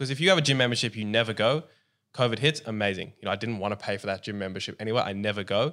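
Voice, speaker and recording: On a very clean recording with a silent background, a man with an Australian accent speaks at a very fast pace, with a fairly low pitch and ordinary pitch variation. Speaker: podcaster and gym owner. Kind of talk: casual interview chat.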